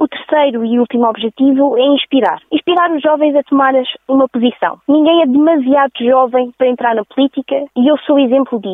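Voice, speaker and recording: This woman has a high pitch and ordinary pitch variation. She talks at a fairly quick pace with hardly any pauses. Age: 20s. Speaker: political candidate. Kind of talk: campaign statement.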